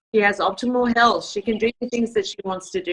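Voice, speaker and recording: A woman speaks with an Australian accent at a moderate pace. Her intonation is fairly even. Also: dry, close sound with no echo. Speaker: network marketing team leader. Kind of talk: closing remarks on a group call. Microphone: phone instead of computer.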